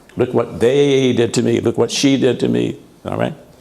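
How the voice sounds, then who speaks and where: Medium-pitched man's voice with vocal fry. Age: 80s+. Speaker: minister. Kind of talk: sermon.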